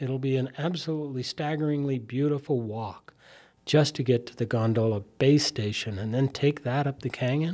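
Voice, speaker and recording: A man with an American accent, medium pitch, ordinary pitch variation, a dark, mellow tone and a moderate pace, on a very clean recording with a silent background. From Utah, Salt Lake area. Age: 60s. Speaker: local politician and skier. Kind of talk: interview.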